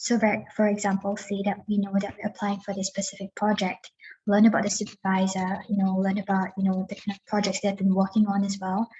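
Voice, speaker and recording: A woman's somewhat breathy voice holds a monotone, flat intonation. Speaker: PhD fellow. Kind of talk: panel advice.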